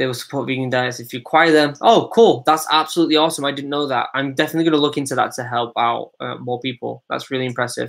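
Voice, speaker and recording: With a Manchester accent, a man talks at a very fast pace. His pitch is fairly high, with ordinary variation. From Manchester, England. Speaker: former Royal Marine, YouTuber. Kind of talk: live stream Q&A. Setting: live stream. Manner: casual, hesitant with fillers.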